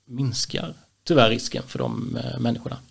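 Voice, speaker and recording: A man speaks at a moderate pace in a medium pitch, his intonation fairly even and his voice showing vocal fry. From Småland, Sweden. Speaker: municipal employment project leader. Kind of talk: casual interview.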